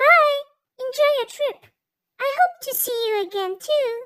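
This put-on character voice is squeaky and extremely high in pitch. It moves at a fairly slow pace. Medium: audio drama. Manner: warm, welcoming.

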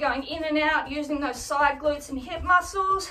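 With faint music in the background, a woman speaks in a raised, projected voice at a fairly slow pace. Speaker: fitness instructor. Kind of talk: tutorial. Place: home room. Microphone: camera far.

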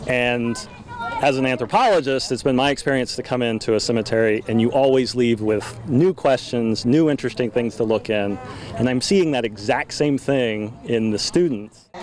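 A man talks at a moderate pace with ordinary pitch variation. The sound is dry with no echo, over light background noise. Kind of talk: interview answer. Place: open country.

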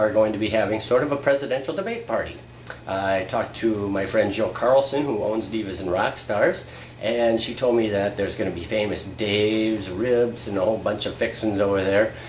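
This man's voice sits fairly low, with ordinary pitch variation. Room echo is audible, and light background noise runs underneath. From US Upper Midwest (Fargo area). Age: 40s. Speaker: vlogger, part-time radio/TV media worker. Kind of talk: casual video blog monologue. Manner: casual, halting with fillers. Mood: relaxed, self-deprecating humor. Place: home room. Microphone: camera far.

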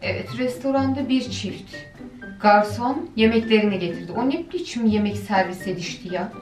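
Over clear background music, a woman speaks at a fairly slow pace with audible room echo. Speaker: reaction video host. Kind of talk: casual commentary. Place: home room.

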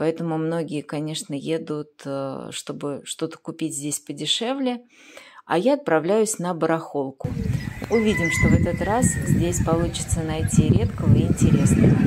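Loud background noise surrounds the recording. A woman speaks at a moderate pace. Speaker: tour guide vlogger. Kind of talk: casual vlog chat. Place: market. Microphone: phone near.

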